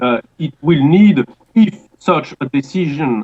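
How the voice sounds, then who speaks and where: Lively intonation marks a man speaking with a strong French accent. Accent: heavy French. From France. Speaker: political commentator. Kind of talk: interview answer. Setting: internet call.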